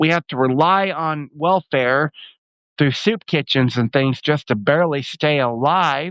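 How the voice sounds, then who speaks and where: Here a man speaks at a very slow pace. His pitch is fairly high. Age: 60s. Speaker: homeless street minister. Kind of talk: appeal for donations. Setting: live video. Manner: halting.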